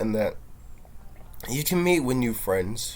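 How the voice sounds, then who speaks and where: The man's voice sits at medium pitch, moving at a moderate pace with ordinary pitch variation. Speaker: vlogger. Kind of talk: personal monologue. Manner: halting.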